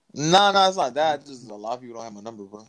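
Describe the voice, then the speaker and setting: A man with an American accent rattles through his words at a very fast pace. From Florida. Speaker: podcast co-host. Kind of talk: casual chat.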